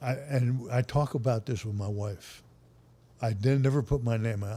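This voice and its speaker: Here a man speaks at a moderate pace, his medium-pitched voice dark, mellow and somewhat breathy. His intonation stays fairly even. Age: 80s+. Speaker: retired football coach. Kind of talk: casual interview storytelling.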